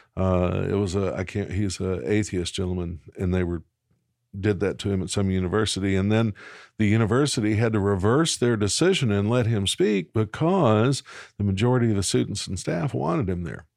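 On a very clean recording with a silent background, a man with a Southern US accent speaks with ordinary pitch variation. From Arkansas, Little Rock. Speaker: pastor. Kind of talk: interview. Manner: halting.

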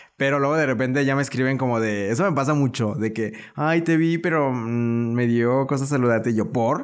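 There is audible room echo around a man speaking at a medium pitch with ordinary pitch variation. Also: moderate pace, hardly any pauses, very even loudness. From León, Guanajuato, Mexico. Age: 20s. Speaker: social media influencer. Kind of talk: casual interview.

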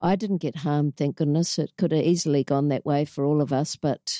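The voice has a dark, mellow tone in a New Zealand accent, with fairly even intonation and very even loudness. The sound is dry and close with no echo, over a quiet background. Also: woman. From New Zealand, Auckland. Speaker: inspirational speaker and anti-bullying program founder. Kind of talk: interview, personal life story.

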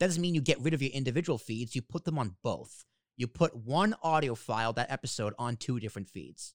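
Speaking with an American accent and lively intonation, a man at medium pitch comes through on a very clean recording with a silent background and a dry, close sound with no echo. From Boston. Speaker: podcast host. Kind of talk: casual interview chat.

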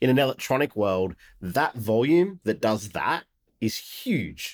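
This man speaks with an Australian accent. The recording is very clean with a silent background, and the sound is dry and close with no echo. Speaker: podcast host and tech company executive. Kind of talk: podcast interview.

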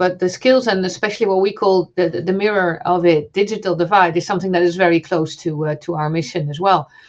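An ordinary speaking voice goes at a fairly quick pace with ordinary pitch variation. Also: woman, hardly any pauses. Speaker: telecoms regulator representative. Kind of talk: panel discussion.

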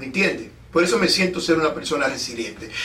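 Noticeable background noise and audible room echo around a man with lively intonation. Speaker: podcast and radio host. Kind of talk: casual interview. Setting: studio.

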